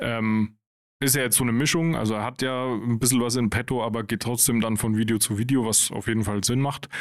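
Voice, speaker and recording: At a very fast pace, a man talks at a medium pitch with fairly even intonation and very even loudness. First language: German. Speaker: podcast co-host. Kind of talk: casual chat.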